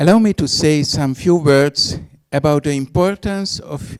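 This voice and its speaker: Speaking with a Hungarian accent, a man uses a fairly high pitch, ordinary pitch variation and a moderate pace on a very clean recording with a silent background. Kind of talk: reading a prepared speech. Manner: formal.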